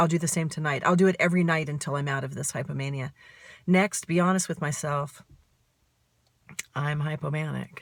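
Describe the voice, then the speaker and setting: Somewhat breathy speech with fairly even intonation, in a very clean recording over a silent background. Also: woman. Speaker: author and bipolar disorder advocate. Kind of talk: personal self-recorded video talk.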